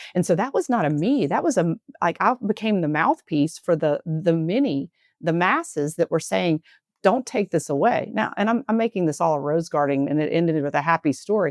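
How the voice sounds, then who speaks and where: A Southern US accent at a fairly quick pace, with lively intonation and very even loudness, dry and close with no echo against a quiet background. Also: woman, fairly low pitch for a woman. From US South. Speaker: healthcare executive, former nurse. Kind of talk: interview conversation.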